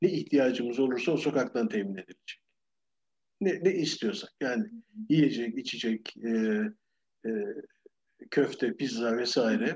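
A man speaks at a fairly slow pace in a dark, mellow tone, his pitch swinging very widely. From Turkey, Ankara. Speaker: retired architecture professor. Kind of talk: interview.

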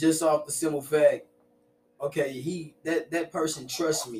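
Speech comes fairly slowly in a somewhat breathy voice. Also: man. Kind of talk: casual podcast chat.

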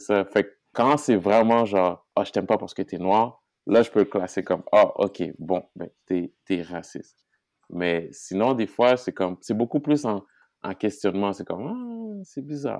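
Against a quiet background, a man speaks at a fairly slow pace in a fairly low pitch. It is a plain, everyday voice with ordinary pitch variation. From Haiti. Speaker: guest. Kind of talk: casual chat.

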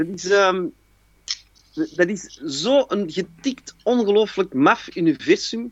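A man's high voice with a strong Antwerp accent, very slow delivery and very wide swings in pitch. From Antwerp, Belgium. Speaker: actor and cabaret performer. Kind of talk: casual chat.

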